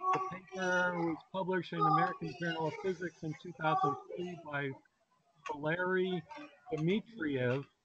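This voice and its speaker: Amid loud background noise, a man speaks fairly slowly at a high pitch with fairly even intonation, the sound dry with no echo. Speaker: science discussion participant. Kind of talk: reading aloud. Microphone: video call.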